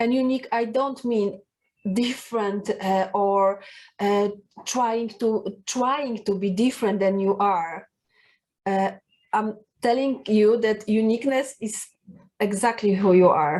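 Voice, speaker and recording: With a Polish accent and a fairly high pitch, a woman speaks with long, frequent pauses over a quiet background. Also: ordinary pitch variation, fairly slow pace. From Poland. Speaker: personal branding coach. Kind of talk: talking-head video tips. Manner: halting, many fillers.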